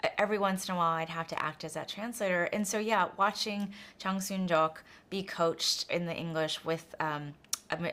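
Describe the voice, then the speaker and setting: Her pitch fairly low and her tone bright and sharp, a woman speaks at a moderate pace. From United States, Korean immigrant family. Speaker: film director. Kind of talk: interview.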